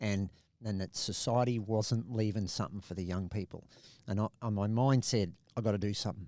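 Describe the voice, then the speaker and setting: In a very clean recording with a silent background, a man with an Australian accent speaks fairly quickly, his tone dark and mellow and his pitch fairly low. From Australia, Adelaide and Bundaberg. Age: 60s. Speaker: conservationist and pilot. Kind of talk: podcast interview.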